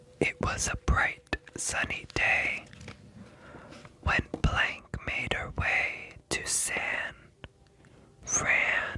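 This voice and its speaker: Noticeable background noise behind very slow whispering broken by long, frequent pauses. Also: man. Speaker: ASMR artist. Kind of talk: ASMR bedtime story reading. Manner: soft-spoken, relaxing.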